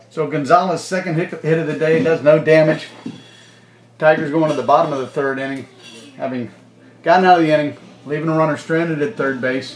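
A man talks at a fairly quick pace with fairly even intonation and long, frequent pauses. Light background noise and audible room echo surround his voice. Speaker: baseball broadcaster. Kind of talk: live sports commentary. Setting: press box, air-conditioned. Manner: casual, conversational play-by-play with filler words and light humor. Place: stadium. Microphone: phone near.

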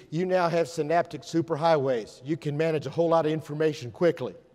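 A fairly quick pace against a quiet background. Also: man. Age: 60s. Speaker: educator. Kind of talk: conference talk. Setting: stage with audience. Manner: animated. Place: hall.

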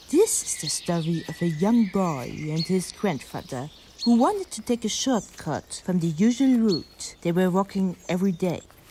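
Over noticeable background noise, a woman with a medium-pitched voice and lively intonation talks with hardly any pauses. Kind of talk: horror narration. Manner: hushed, slow, suspenseful storytelling; shifts into frightened, trembling character voices.

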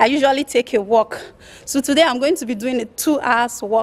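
A woman is speaking. Her pitch is high. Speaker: vlogger. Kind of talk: casual vlog chat. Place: street. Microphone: phone near.

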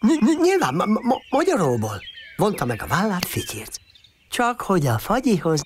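Reading aloud in an unforced voice

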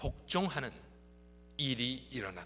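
Music plays in the background behind a male speaker. He talks at a very slow pace. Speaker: pastor. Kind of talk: sermon.

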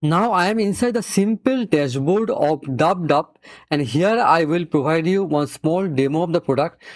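The background stays quiet. A man speaks fairly quickly, his intonation lively. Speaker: software reviewer. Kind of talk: tutorial.

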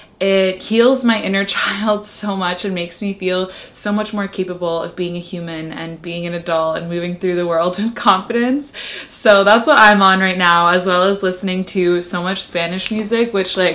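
At a moderate pace, a woman talks with hardly any pauses and fairly even intonation. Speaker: lifestyle vlogger. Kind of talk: casual vlog chat. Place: home room. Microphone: camera far.

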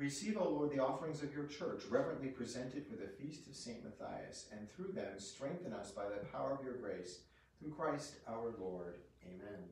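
A man with a medium pitch speaks at a moderate pace, his pitch swinging very widely while the room echo is audible. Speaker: priest. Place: home room. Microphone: camera far.

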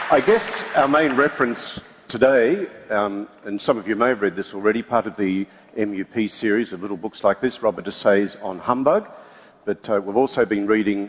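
In a plain, everyday voice, a man talks at a moderate pace and a fairly low pitch with ordinary pitch variation. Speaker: panel moderator. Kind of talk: event introduction and reading aloud. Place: stage.

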